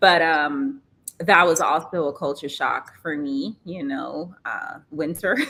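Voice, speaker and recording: A woman's fairly low, bright and sharp voice in an American accent, with vocal fry, lively intonation, big swings in loudness and a very slow pace. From Trinidad. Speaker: modeling agency founder and former model. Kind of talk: podcast interview.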